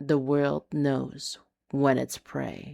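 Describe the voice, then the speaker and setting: This is a put-on character voice. Its pitch sits low to middle. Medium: read story. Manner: dark, knowing, amused.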